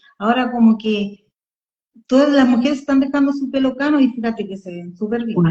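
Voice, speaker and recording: Fairly quick delivery with ordinary pitch variation and big swings in loudness. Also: woman, high pitch for a woman. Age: 40s. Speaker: podcast co-host. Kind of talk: casual chat. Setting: live Instagram stream.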